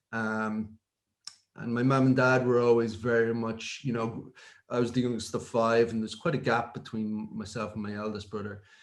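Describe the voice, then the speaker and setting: Speaking at a moderate pace in a Dublin accent, a man keeps a medium pitch and a monotone, flat intonation. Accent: Dublin Irish. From Ireland, North Dublin (Finglas). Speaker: technology executive. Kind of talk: interview. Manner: hesitant, many fillers.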